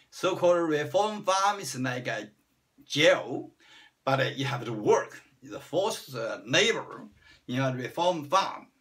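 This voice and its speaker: Speaking fairly slowly with a Chinese accent, a man with a high voice swings very widely in pitch and widely in loudness. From China. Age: 60s. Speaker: vlogger. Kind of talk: personal self-introduction monologue.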